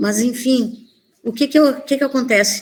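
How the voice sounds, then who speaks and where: The speech comes at a moderate speed in a somewhat breathy voice. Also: woman. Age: 60s. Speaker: primary school teacher. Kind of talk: conference presentation.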